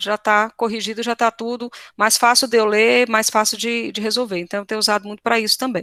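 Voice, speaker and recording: In a very clean recording with a silent background and a dry, close sound with no echo, a woman speaks fairly high and monotone, with flat intonation. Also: fairly quick pace. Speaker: teacher giving a workshop. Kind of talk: tutorial. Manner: fast.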